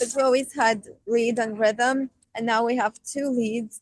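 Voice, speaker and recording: This is a woman with a fairly high pitch. The sound is dry and close, with no echo. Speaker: rock band vocalist and keyboardist. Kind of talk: interview.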